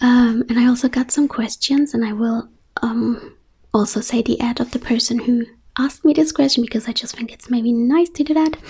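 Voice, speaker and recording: Soft-spoken and high-pitched, a woman talks at a fairly quick pace. Her intonation stays fairly even. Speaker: ASMR creator. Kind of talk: Q&A video.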